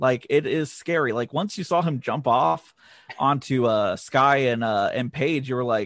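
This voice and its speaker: A man with an unremarkable speaking voice talks at a moderate pace with ordinary pitch variation, the sound dry and close with no echo. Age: 30s. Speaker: wrestling vlogger. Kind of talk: casual chat.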